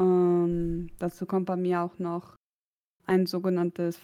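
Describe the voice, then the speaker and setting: A dark, mellow female voice in a medium pitch. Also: very clean recording, silent background. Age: 30s. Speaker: podcast co-host. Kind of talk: casual chat.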